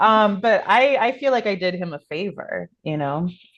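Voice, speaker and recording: Against a quiet background, a woman with a normal speaking voice talks at a fairly slow pace with lively intonation. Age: middle-aged. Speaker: podcast host. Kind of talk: casual chat.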